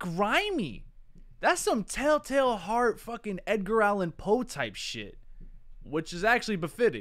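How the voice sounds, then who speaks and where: Lively intonation from a man at a fairly slow pace against a quiet background. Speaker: reaction creator. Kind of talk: casual reaction commentary.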